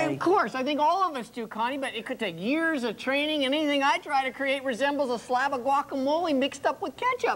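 A woman speaks at a very fast pace in a high pitch with an upbeat, enthusiastic tone and ordinary pitch variation, with hardly any pauses. Noticeable background noise runs behind her. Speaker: art teacher. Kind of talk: infomercial talk show guest demo.

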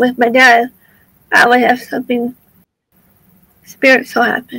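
A woman speaks in a high, bright, sharp voice at a moderate pace. Her intonation is monotone and flat. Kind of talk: casual interview chat.

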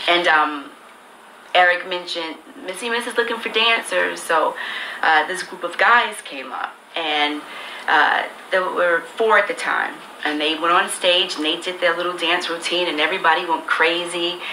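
Heard with audible room echo and light background noise, a woman speaks at a moderate pace with a fairly low pitch and ordinary pitch variation. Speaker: recording artist. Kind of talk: casual storytelling. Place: office.

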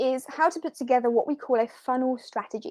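A woman speaks with a high pitch and a dark, mellow tone. Her intonation is lively against a quiet background. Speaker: online teacher and marketing coach; online teacher, marketing coach. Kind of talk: live webinar. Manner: casual, conversational. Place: home room. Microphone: webcam.

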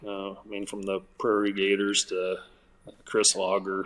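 With an American accent, a man is talking. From southwest Iowa. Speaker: artist and event organizer; guest. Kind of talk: casual interview chat. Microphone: video call.

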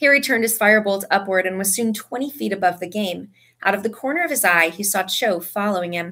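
Simple reading aloud, nothing more

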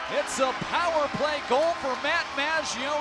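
Amid loud background noise, a man speaks with an extremely high pitch and fairly even intonation, the sound dry with no echo. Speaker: hockey play-by-play announcer. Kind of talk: live play-by-play hockey commentary. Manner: shifts to calmer wrap-up summary after the final goal. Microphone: headset.

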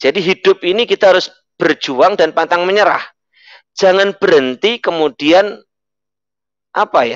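Long, frequent pauses break up a man's speech at a moderate pace. His pitch is high for a man, and the sound is dry with no echo against a quiet background. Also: ordinary pitch variation. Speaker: network marketing leader; guest. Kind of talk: motivational talk and prayer. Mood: upbeat, smiling, persuasive. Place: home room. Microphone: headset.

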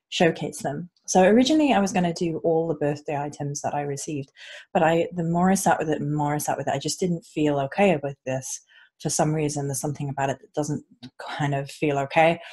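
Against a quiet background, a somewhat breathy voice with a dark, mellow tone rushes along at a very fast pace with big swings in loudness. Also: woman, very deep, low pitch for a woman, ordinary pitch variation. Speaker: unboxing vlogger. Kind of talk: casual vlog chat. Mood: warm, excited. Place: home room. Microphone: earbuds.

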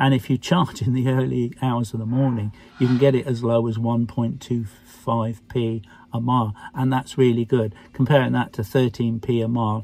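Over light background noise, a man with a dark, mellow, somewhat breathy tone speaks at a fairly quick pace with fairly even intonation in a dry sound with no echo. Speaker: car owner vlogger. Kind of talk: casual vlog chat. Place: car. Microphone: phone near.

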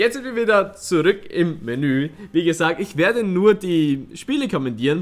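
Lively intonation marks this man's high voice as he speaks at a moderate pace. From Styria, Austria. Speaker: let's player. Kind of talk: casual gaming commentary to camera. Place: home room.

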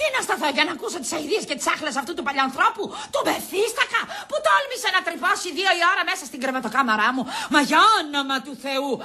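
In a put-on character voice, a woman speaks at a high pitch in a bright, sharp tone, with big pitch swings, few pauses and faint background noise.

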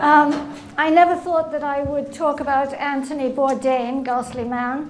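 A woman at a high pitch, moderate pace and monotone, flat intonation, with light background noise. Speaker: invited lecturer. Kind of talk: lecture. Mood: light humorous opening. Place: hall. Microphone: podium.

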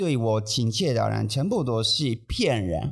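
Over a quiet background, a man with a Japanese accent speaks at a very slow pace. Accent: non-native Mandarin, Japanese. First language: Japanese (speaking Chinese). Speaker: manzai comedian, podcast co-host. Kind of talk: casual chat. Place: studio. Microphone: studio mic.

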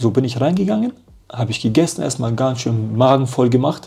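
The pace is very fast. The speaker is a man. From Germany. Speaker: professional footballer; interview guest. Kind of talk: casual interview chat. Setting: hotel. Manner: animated. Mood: lively storytelling, animated. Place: home room.

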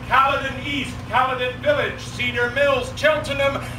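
Over noticeable background noise, a man talks loudly at an extremely high pitch. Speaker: town crier. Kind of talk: town crier proclamation at a championship competition. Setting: outdoors at a festival. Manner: loud, formal, ceremonial delivery with pauses. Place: stage. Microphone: camera far.

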